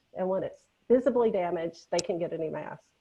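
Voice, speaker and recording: A woman speaks with a Southern US accent. Her pace is fairly quick. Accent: Southern US (Georgia). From Georgia, US South. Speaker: nurse educator, webinar presenter. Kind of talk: webinar lecture. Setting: online webinar.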